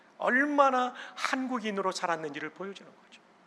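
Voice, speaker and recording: This man talks at a moderate pace. His pitch variation is ordinary. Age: 60s. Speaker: pastor and seminary president. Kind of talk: sermon. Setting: church.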